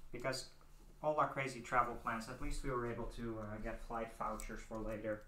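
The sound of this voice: In an American accent, a man with a medium-pitched voice and a bright, sharp tone speaks at a moderate pace with little pitch movement, and audible room echo surrounds him. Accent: Dutch-tinged American English.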